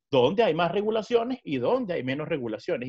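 Against a quiet background, the speaker uses a Venezuelan accent with very wide pitch swings. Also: man. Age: 20s. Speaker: lawyer and law lecturer; lawyer, law lecturer. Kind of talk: interview conversation. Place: home room. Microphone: webcam.

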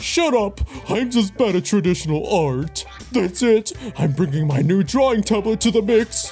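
A female-sounding put-on character voice at a medium pitch moves at a moderate pace. Clear music plays in the background. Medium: dub.

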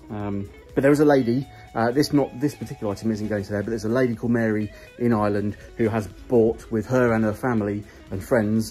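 A man talks at a very fast pace with fairly even intonation. Faint music plays in the background. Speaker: reseller vlogger. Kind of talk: casual vlog chat. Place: office. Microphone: phone near.

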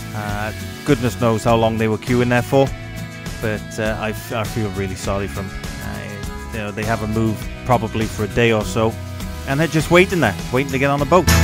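Clear music plays in the background as the speaker moves at a fairly quick pace in a dry sound with no echo. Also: man, fairly low pitch for a man. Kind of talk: casual vlog commentary. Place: motorbike. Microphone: helmet.

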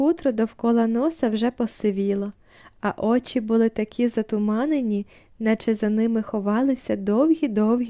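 The delivery is an unforced reading voice.

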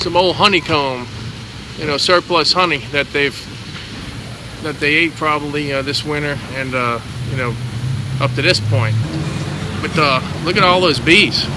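Background noise is noticeable. The sound is dry, with no echo. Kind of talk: casual commentary. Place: street. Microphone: phone near.

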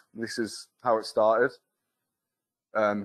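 A man is heard against a quiet background. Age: 30s. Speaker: foundry apprentice. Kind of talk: presentation. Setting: stage with audience. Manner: casual and humorous. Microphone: video call.

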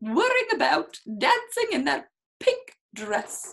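Speaking at a slow pace, a woman uses a high pitch with big swings, a fairly bright tone and vocal fry.

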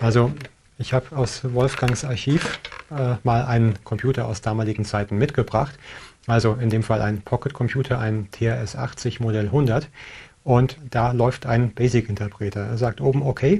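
This man's voice has a dark, mellow tone. It sounds somewhat breathy. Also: fairly even intonation, moderate pace. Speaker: tech show host. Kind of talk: tutorial. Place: studio. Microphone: lapel.

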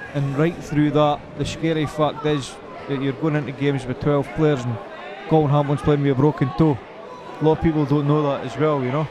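A man speaks at a fairly quick pace with a fairly high pitch. Background noise is noticeable. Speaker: football commentator. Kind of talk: live football commentary. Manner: animated, rapid-fire; laughs and banters with co-commentator.

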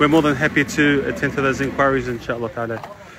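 The speech comes at a very fast pace, the sound dry with no echo and noticeable background noise behind it. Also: man. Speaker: charity worker. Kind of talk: on-site video update. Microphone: phone near.

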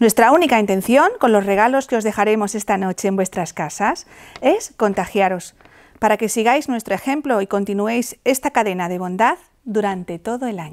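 Her voice is fairly high, with ordinary pitch variation. The woman speaks at a moderate pace over a quiet background. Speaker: theatre group actor reading a speech as a Three Kings character. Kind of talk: scripted reading of a festive proclamation, in character. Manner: warm, playful with a laugh, then earnest. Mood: warm, festive, earnest. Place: studio. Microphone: lapel.

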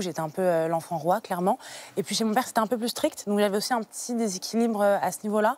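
A woman's voice, dry and free of echo. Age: 20s. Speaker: guest sharing personal story of childhood obesity; TV guest. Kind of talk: testimony. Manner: halting with frequent hesitations. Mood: calm, personal, reflective. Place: studio. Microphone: lapel.

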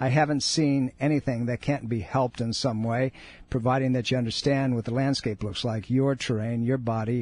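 Over a quiet background, a man talks at a fairly quick pace in a medium-pitched, somewhat breathy voice with an upbeat tone. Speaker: radio host and chiropractor. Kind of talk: live radio talk show patter with promos and caller advice. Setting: radio studio. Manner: conversational, upbeat, persuasive, pitching the show and charity between segments.

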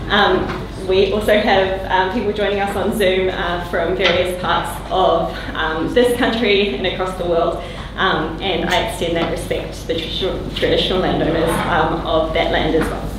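Amid noticeable background noise and audible room echo, a woman speaks with fairly even intonation. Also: moderate pace. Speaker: panel chair. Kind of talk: formal introduction of a panel. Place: meeting room.

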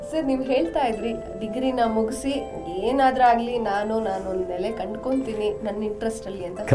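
A woman speaks with ordinary pitch variation. Music plays clearly in the background. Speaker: TV show host. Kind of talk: TV interview questions. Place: studio.

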